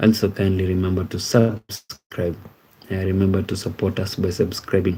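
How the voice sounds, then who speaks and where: A man speaks with a very deep, low pitch and a dark, mellow tone that is somewhat breathy. His delivery is a flat monotone at a moderate pace. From Kenya. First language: Ekegusii. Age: 30s. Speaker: live streamer. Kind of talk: live stream chat reading. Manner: hesitant, many fillers.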